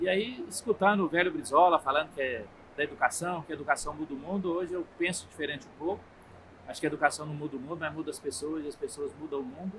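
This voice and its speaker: Speaking at a very fast pace, a man uses a fairly high pitch with ordinary pitch variation. His loudness swings widely. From Minas Gerais, Brazil (Triângulo Mineiro). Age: 60s. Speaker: federal politician, agronomist. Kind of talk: interview. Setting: agricultural fair.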